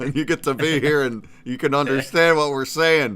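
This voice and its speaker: A loud, bright, sharp voice at a fairly slow pace. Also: man. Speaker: livestream host. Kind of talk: casual chat. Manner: energetic.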